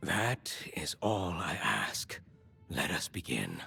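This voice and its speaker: A man whispers in a put-on character voice at a very slow pace. Clear music plays in the background. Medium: video game. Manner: measured, solemn.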